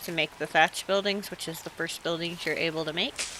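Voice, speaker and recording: Noticeable background noise sits behind a voice with a relaxed tone. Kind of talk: video game tutorial narration. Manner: casual, relaxed.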